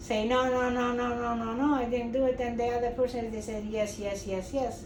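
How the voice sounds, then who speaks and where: Noticeable background noise and audible room echo surround a woman with a Portuguese accent. Her pitch is high, with fairly even intonation. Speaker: grandmother being interviewed, retired cleaning supervisor. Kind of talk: family interview.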